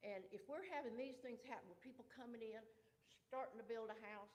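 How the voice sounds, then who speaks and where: With a Southern US accent, a woman talks at a fairly quick pace in a fairly high voice with ordinary pitch variation, and room echo is audible. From US South, Georgia (Newton County). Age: 70s. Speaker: resident speaking at public comment. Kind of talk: public comment at a county meeting. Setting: county commission meeting.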